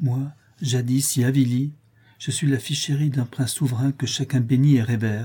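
Unforced read-aloud voice, intonation kept fairly even.

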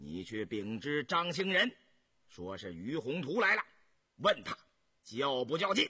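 Using a put-on character voice, a man talks at a fairly slow pace with a bright, sharp tone, a slightly husky edge, medium pitch and big pitch swings.

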